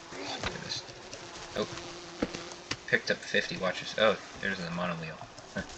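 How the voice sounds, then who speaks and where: The speech has long, frequent pauses. Background noise is noticeable. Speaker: gaming youtuber. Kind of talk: gameplay commentary. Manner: fast.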